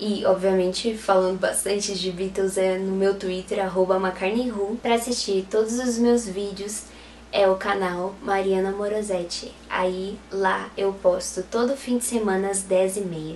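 A woman talks at a fairly slow pace and medium pitch, in a monotone, flat intonation. She hardly pauses, and noticeable background noise is present. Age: 20s. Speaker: photographer and Beatles fan youtuber. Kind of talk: interview.

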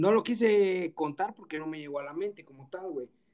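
A man speaks with a Mexican accent. His pace is moderate. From Mexico, Guerrero. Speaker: podcast host. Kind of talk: casual chat. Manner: robotic, announcer-like.

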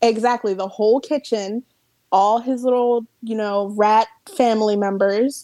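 Speaking at a fairly slow pace with an East Coast US accent, a woman has a fairly high pitch, a dark, mellow tone and fairly even intonation. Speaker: podcast guest. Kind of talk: casual chat. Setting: video call.

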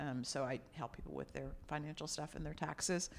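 The speaker has an American accent and a fairly quick pace. Pitch variation is ordinary. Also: woman. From New York (Brooklyn). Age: 50s. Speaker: nonprofit co-founder. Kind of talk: interview. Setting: in-person recording.

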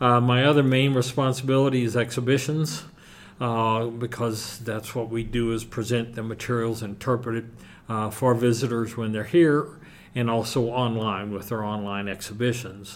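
In a normal speaking voice, a man of medium pitch talks at a moderate pace with fairly even intonation. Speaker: museum curator. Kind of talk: interview. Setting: on location at a museum.

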